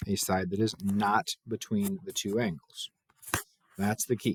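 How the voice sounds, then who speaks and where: A man speaks with a fairly low pitch. His voice has a dry, close sound with no echo. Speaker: math teacher. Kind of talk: tutorial.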